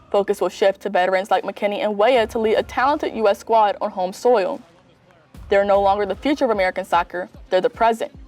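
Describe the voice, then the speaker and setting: A woman speaks at a very fast pace with a medium pitch and ordinary pitch variation. The sound is dry and close with no echo, and music plays in the background. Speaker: student news reporter. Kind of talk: TV news report.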